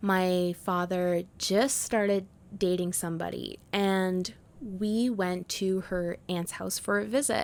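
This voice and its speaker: A woman with a Canadian accent at a medium pitch, very slow pace and fairly even intonation, on a very clean recording with a silent background. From Canada, Prince Edward Island. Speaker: podcast host. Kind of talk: podcast monologue.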